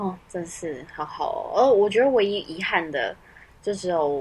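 The speaker is a soft-spoken woman. Her pitch sits in the medium range. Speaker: podcast co-host. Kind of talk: casual chat. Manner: soft at the start of the recording.

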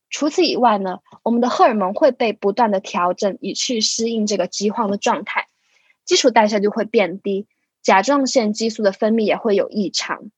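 At a moderate pace, a somewhat breathy woman speaks with a fairly high pitch and ordinary pitch variation, the sound dry and close with no echo. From Hong Kong. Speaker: physiotherapy student. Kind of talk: scripted narration.

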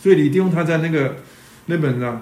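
A man with a fairly high pitch speaks in a room with audible echo. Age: 60s. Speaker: church teacher. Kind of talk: sermon. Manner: halting, many fillers.

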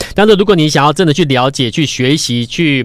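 Ordinary pitch variation marks a man's speech at a fairly quick pace. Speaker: stock market radio host and investment advisor. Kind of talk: radio stock-market commentary. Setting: radio studio, simultaneously video-recorded. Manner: fast; animated.

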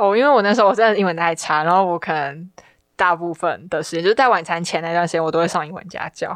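Very fast speech from a woman with a Taiwanese accent, fairly low pitch, and ordinary pitch variation, set against a quiet background. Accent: Taiwanese Mandarin. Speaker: university student. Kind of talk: casual chat.

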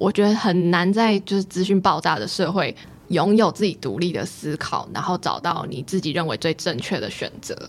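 A woman's fairly low voice with ordinary pitch variation, at a moderate pace, over noticeable background noise. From Taiwan, Pingtung. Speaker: graduate student. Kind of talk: interview.

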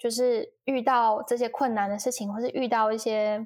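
With an unremarkable speaking voice, a woman talks at a moderate pace and a fairly high pitch, her intonation fairly even. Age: 20s. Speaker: talent manager and YouTuber. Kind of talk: casual interview.

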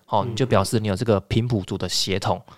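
On a very clean recording with a silent background, a man uses a normal speaking voice at medium pitch with ordinary pitch variation. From Taiwan. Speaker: podcast host. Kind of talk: casual interview.

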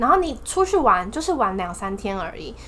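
The voice moves at a moderate pace with very wide pitch swings. Audible room echo surrounds it. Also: woman. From Taiwan, Taipei. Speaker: exchange student. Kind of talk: casual chat.

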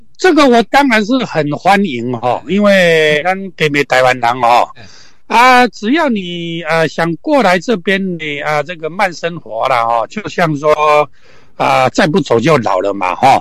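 At a fairly slow pace, a man talks in a fairly high pitch with very wide pitch swings. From Taiwan, Hsinchu. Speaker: camper van conversion specialist. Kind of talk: casual interview. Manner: halting, many fillers.

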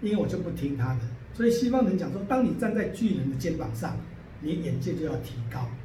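Amid audible room echo and noticeable background noise, a man talks at a fairly quick pace and a fairly high pitch with very wide pitch swings. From southern Taiwan. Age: 60s. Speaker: painter and art teacher. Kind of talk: interview.

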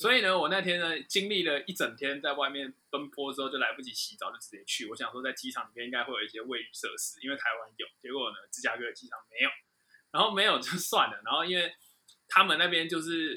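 This man talks at a very fast pace with a Taiwanese accent, his voice pitched high and his intonation lively, with big swings in loudness. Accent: Taiwanese Mandarin. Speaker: aviation podcast co-host. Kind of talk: casual chat.

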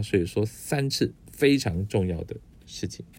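A man speaks in a relaxed tone. His pitch swings very widely. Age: middle-aged. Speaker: podcast host. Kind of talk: casual monologue. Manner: relaxed, with many filler particles.

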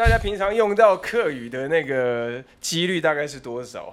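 Amid noticeable background noise, a man talks with very wide pitch swings. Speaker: podcast host. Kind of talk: casual chat.

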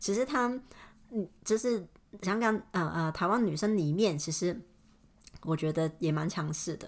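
A woman with fairly low pitch speaks at a fairly slow pace, with lively intonation. Long, frequent pauses break up her speech on a very clean recording with a silent background. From Hong Kong. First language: Cantonese (speaking Chinese). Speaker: podcaster. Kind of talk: casual monologue. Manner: hesitant, many fillers.

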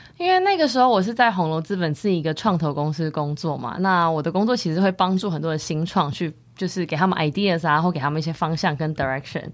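Very fast delivery from a woman, fairly low in pitch, with ordinary pitch variation. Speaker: podcast co-host, wellness startup co-founder. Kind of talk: casual chat.

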